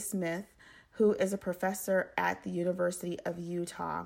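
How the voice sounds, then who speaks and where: In an American accent, the speaker talks at a moderate pace on a very clean recording with a silent background. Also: woman. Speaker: podcast host. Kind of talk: solo educational monologue.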